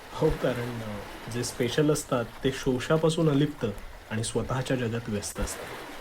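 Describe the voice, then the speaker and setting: A man's speech shows ordinary pitch variation beneath noticeable background noise. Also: medium pitch for a man. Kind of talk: scripted romantic dialogue voiceover. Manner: hesitant, then warm and sincere.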